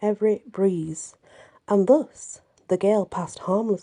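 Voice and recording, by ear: Reading aloud in a natural voice, with fairly even intonation over a quiet background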